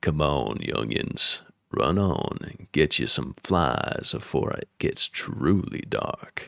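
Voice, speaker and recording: Putting on a character voice, a man drawls at a very slow pace in a croaky, very deep, low pitch with a Southern US accent. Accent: Southern American drawl. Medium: read story. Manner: firm, bossy.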